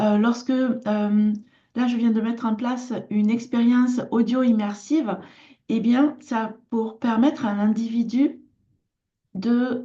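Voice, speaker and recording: Her tone is dark and mellow. The woman speaks very slowly in a monotone, flat intonation. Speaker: artisan and lifestyle vlogger. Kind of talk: casual personal vlog talk. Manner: hesitant, many filler sounds.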